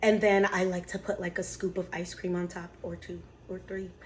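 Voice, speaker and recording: A woman speaks at a moderate pace in a plain, everyday voice, her pitch sitting in the middle range. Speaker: lifestyle vlogger. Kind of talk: casual baking vlog and Q&A. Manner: casual, chatty.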